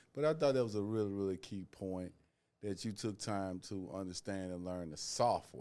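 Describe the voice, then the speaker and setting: This man has a dark, mellow tone and a Southern US accent. He talks at a moderate pace with lively intonation. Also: fairly low pitch for a man. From US South. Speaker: author. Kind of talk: casual chat.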